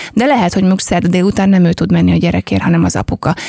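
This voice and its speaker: Dry, close sound with no echo around a woman's dark, mellow tone. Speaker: entrepreneur, lifestyle company founder. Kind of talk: casual chat.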